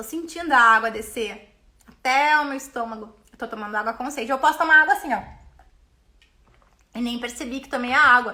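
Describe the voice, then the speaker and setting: Speaking in a high pitch with an animated tone, a woman moves at a fairly quick pace with long, frequent pauses and ordinary pitch variation. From Brazil. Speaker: business mentor and coach. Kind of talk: live stream talk. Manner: fast.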